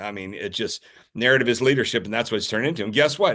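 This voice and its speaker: The background is free of noise. A man talks in an American accent. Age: 60s. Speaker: podcast host, former marine biologist. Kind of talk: casual chat. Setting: hotel room. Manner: animated.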